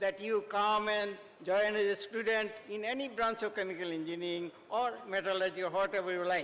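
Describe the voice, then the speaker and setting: Speaking at a moderate pace with hardly any pauses, a man uses a high pitch and fairly even intonation. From India, Tripura. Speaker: retired professor. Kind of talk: ceremonial speech. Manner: halting.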